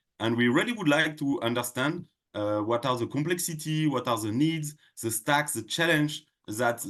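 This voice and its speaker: Against a quiet background, the speaker talks at a moderate pace in a French accent with lively intonation. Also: man. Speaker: tech company product head. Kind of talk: podcast interview. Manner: halting, many fillers.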